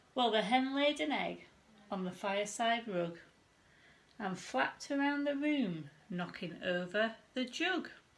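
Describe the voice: A woman talks at a fairly high pitch with lively intonation and a fairly slow pace. Audible room echo surrounds her voice.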